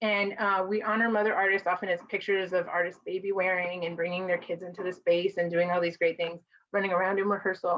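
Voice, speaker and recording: Speaking at a fairly quick pace, a woman with an American accent uses a medium pitch. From Mexican American, US. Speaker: conference presenter and caregiver advocate. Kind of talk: presentation to a virtual conference. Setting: virtual conference video call. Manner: fast.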